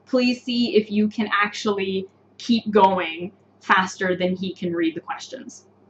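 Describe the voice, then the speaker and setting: With a North American accent, a woman speaks fairly slowly at a fairly high pitch with ordinary pitch variation, amid noticeable background noise. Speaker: English teacher. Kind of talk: live online lesson. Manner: clear, explanatory.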